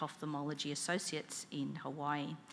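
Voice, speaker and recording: A woman speaks with an Australian accent. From Australia, Melbourne. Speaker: conference session chair, eye specialist. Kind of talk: conference moderation.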